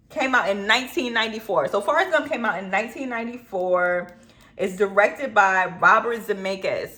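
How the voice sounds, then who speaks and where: The speaker uses lively intonation and an animated tone. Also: woman, fairly high pitch for a woman, fairly quick pace. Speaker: film reviewer YouTuber. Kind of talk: casual vlog commentary. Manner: occasionally tongue-tied.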